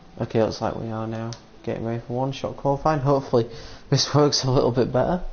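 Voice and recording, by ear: Talking at a fast pace, a man keeps a medium pitch and fairly even intonation.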